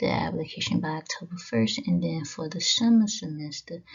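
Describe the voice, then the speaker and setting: The woman in this clip talks at a fairly slow pace. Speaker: education channel host. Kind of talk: slideshow presentation narration. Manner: subdued, not very enthusiastic.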